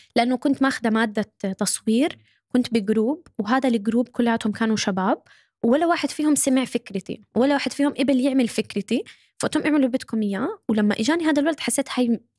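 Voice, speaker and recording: A woman's high-pitched voice at a fairly quick pace, with ordinary pitch variation, very even loudness and a quiet background. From Saudi Arabia, Syrian-Jordanian family. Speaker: social media manager and content creator; guest. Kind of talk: casual chat. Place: studio. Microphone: studio mic.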